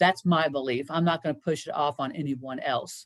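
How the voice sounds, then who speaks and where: Speaking fairly slowly, a woman talks with a Kentucky accent. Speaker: senior living care professional. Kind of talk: presentation Q&A. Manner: conversational, many fillers.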